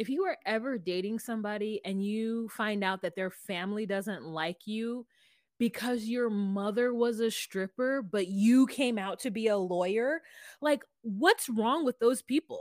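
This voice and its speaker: A woman with an ordinary speaking voice, fairly high in pitch and with ordinary pitch variation, talks at a fairly slow pace. The sound is dry and close with no echo, on a very clean recording with a silent background. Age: 40s. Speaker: podcast co-host. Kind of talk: casual chat.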